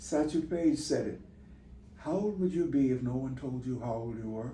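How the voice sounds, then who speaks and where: A man's dark, mellow, somewhat breathy voice at a medium pitch and moderate pace, with ordinary pitch variation and audible room echo. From US Midwest, Chicago south side. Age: 80s+. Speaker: sea captain. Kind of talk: interview.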